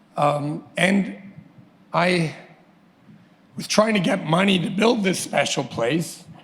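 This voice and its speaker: A man's high-pitched voice at a very slow pace, with long, frequent pauses and noticeable background noise. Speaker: business owner speaking at book launch. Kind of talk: impromptu speech. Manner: halting.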